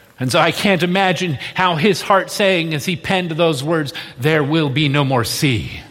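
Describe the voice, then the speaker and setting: A man's fairly high voice at a moderate pace, ordinary pitch variation, audible room echo and noticeable background noise. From moved often: US states, Indonesia, Australia. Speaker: pastor. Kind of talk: sermon.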